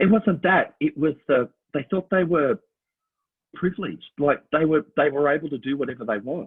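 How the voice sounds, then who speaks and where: A man speaks with an Australian accent at a moderate pace. His voice sits fairly high and his intonation is lively. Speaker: Elvis impersonator and musical theatre performer. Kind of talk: casual chat.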